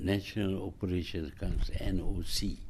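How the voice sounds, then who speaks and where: Somewhat breathy and dark and mellow in tone, a man speaks with ordinary pitch variation. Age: 80s+. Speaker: former prime minister. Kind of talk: interview answer. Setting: office.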